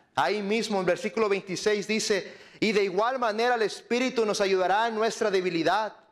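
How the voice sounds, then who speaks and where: With a high pitch and ordinary pitch variation, a man is talking. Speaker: lay preacher. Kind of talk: sermon. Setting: church.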